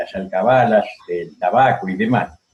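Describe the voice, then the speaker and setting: A man's pitch swings very widely as music plays in the background. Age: 70s. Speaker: historian. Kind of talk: interview. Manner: halting.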